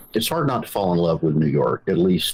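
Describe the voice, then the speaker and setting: A man talks at a moderate pace with a strong Southern US accent. Noticeable background noise sits behind him. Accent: thick Southern. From Georgia, US South (rural, Ellijay). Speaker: magazine founder, journalist. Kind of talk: interview. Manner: hesitant, many fillers.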